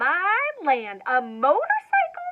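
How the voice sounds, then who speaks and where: A woman's squeaky, put-on character voice, extremely high and swinging very widely in pitch. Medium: read story.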